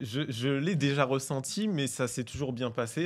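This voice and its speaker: Against a very clean, silent background, a man speaks very slowly. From French Antilles. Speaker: podcast guest. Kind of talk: casual chat. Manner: hesitant, many fillers.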